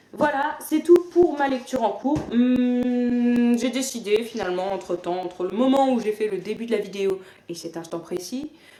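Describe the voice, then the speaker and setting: Her intonation is lively and her pace moderate. The woman's pitch is fairly high. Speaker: book vlogger. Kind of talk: casual vlog monologue. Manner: hesitant with fillers.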